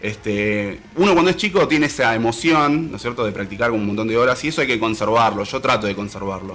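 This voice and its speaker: A man rattles along at a very fast pace with lively intonation and hardly any pauses. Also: medium pitch for a man. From Salta, Argentina. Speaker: musician and guitar teacher. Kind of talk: casual interview.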